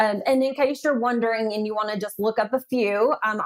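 With a Southern US accent, a woman speaks at a fairly quick pace with a fairly high pitch and ordinary variation, in a dry, close sound with no echo. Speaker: AI ethics advisor. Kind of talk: podcast interview.

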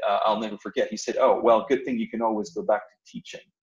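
A man speaks with a French accent. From northern France. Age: 40s. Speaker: business owner, former university professor. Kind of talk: personal story interview. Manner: halting.

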